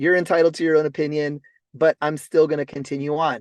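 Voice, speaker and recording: Recorded with a dry, close sound with no echo and a quiet background, a man speaks at a moderate pace in a fairly high pitch. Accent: West Coast American. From Los Angeles. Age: 40s. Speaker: network marketing entrepreneur. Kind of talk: motivational talk on a group call. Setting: in a car on a conference call. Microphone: mobile hotspot connection.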